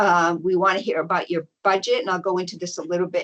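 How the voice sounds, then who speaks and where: This woman has an unremarkable speaking voice. She speaks at a medium pitch with ordinary pitch variation. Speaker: event organizer presenting info session. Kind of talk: online information session presentation.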